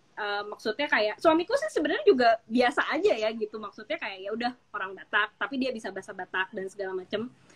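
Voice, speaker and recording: A woman speaks very fast in a strong Jakarta accent, with lively intonation and hardly any pauses. Her loudness swings widely, and the sound is dry and close with no echo. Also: fairly high pitch for a woman. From Jakarta, Indonesia. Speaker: cultural business owner. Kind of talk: interview on live stream. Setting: Instagram live video call.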